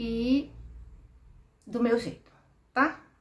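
A woman is heard with light background noise. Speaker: doll clothes channel host. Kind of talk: casual vlog chat. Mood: warm, friendly. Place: home room.

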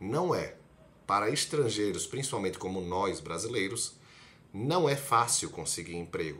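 At a fairly slow pace, a man with a fairly low pitch speaks using very wide pitch swings. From Brazil, Recife (Pernambuco); Pernambuco, Brazil. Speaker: medical student, video blogger; video blogger. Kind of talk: casual explainer vlog. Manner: conversational, direct address to viewer. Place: home room. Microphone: phone near.

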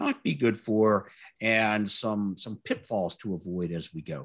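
A man with an American accent and a normal speaking voice, fairly low in pitch and fairly slow, against a quiet background. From US South, Louisiana. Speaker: test automation speaker; speaker. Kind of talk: conference talk. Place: home room.

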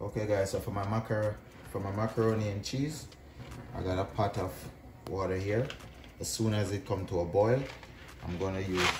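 Loud background noise surrounds speech delivered at a moderate pace. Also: man. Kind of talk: tutorial. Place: kitchen.

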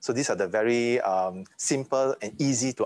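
The sound is dry with no echo as a man talks at a fairly slow pace. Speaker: university lecturer. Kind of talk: lecture. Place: classroom.

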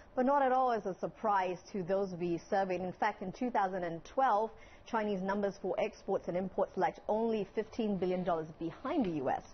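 A woman talks at a moderate pace with hardly any pauses and ordinary pitch variation. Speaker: TV news correspondent. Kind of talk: live news interview answer. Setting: studio. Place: studio.

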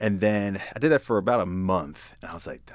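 Talking at a fairly quick pace, a man with a Pennsylvania accent and a fairly low pitch comes through with a dry sound, no echo and a quiet background. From Pennsylvania (Hanover). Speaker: user experience designer. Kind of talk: casual chat. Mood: relaxed, storytelling. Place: meeting room. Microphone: studio mic.

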